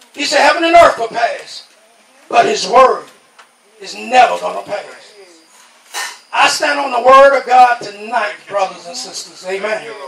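With an American accent, a man speaks at extremely high pitch and a fairly slow pace, leaving long, frequent pauses. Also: lively intonation. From New York. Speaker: lay preacher giving testimony. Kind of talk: Pentecostal revival testimony-sermon, call-and-response exhortation. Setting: outdoor tent revival. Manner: rhythmic preaching punctuated by constant amens, congregation answering; rising, insistent repetition building to fervor.

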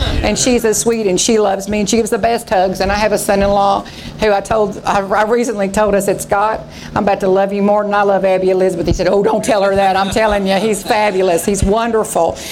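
A woman speaks very fast in a Texas accent, her medium pitch held in a monotone, flat intonation at very even loudness. The room echoes audibly, and background noise is noticeable. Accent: Southern US (Texas). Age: 50s. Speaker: pastor. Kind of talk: revival sermon, impassioned preaching to a congregation with call-and-response amens. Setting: church. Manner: fervent, exhortative, repetitive emphatic phrases; conversational and folksy with laughs.

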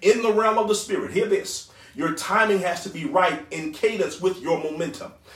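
A man with a high-pitched voice speaks at a moderate pace, his tone animated and his intonation lively. Noticeable background noise can be heard. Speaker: preacher. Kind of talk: sermon. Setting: online church broadcast. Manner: animated, exhorting call-and-response delivery, urging the crowd to shout along; fervent, rhythmic, repeating praise words.

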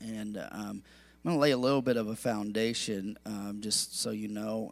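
The recording is very clean, with a silent background. A man speaks at a medium pitch and a moderate pace with fairly even intonation. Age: 40s. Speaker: pastor. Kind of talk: sermon. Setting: church.

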